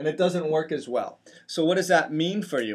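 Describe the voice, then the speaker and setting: On a very clean recording with a silent background, a man uses a normal speaking voice with a fairly high pitch and fairly even intonation. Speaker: chiropractor and health video host. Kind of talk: health educational talk to camera.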